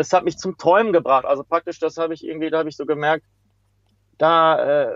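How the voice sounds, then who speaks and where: There is a man whose voice is fairly high in pitch. The sound is dry and close with no echo, over a quiet background. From western Germany, Hagen near Dortmund. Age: 40s. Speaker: street pianist. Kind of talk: interview.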